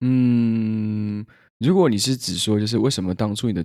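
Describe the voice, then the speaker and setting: A man talks at a fairly quick pace in an ordinary speaking voice, on a very clean recording with a silent background. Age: 20s. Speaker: podcast co-host and growth training consultant. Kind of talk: casual chat.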